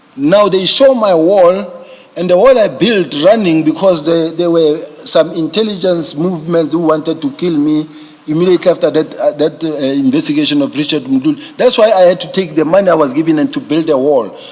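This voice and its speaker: There is noticeable background noise while a man with a high pitch speaks at a moderate pace, his pitch varying in an ordinary way. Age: 50s. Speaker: police general testifying as witness. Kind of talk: testimony. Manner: halting, with many repetitions.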